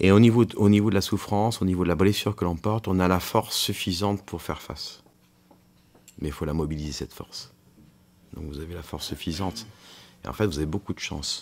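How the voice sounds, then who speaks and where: A man with a very deep, low pitch talks at a fairly quick pace. His loudness swings widely, and he leaves long, frequent pauses. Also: ordinary pitch variation. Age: 60s. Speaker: physician. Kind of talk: counseling conversation. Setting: prison radio show recording.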